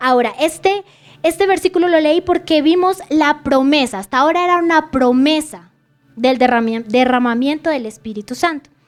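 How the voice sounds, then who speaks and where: Music plays behind a woman with a high voice. Her intonation is lively. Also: moderate pace. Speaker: preacher. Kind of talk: sermon.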